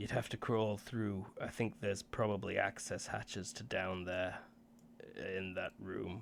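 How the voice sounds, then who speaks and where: Using a raspy, put-on character voice with a fairly low pitch, a man talks at a moderate pace against clear background noise. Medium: actual play. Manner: casual, hesitant, full of fillers.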